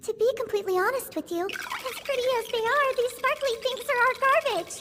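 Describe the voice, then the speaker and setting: A squeaky, cartoonish character voice, female-sounding and extremely high-pitched, moves at a fairly quick pace. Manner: polite, formal, warm.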